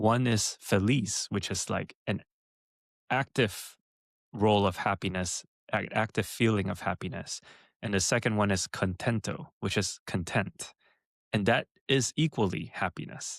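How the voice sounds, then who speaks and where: On a very clean recording with a silent background and a dry, close sound with no echo, a man speaks at a fairly slow pace in a fairly low pitch, with ordinary pitch variation and long, frequent pauses. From Los Angeles area, California. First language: Mandarin. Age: 30s. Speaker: entrepreneur. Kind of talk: interview.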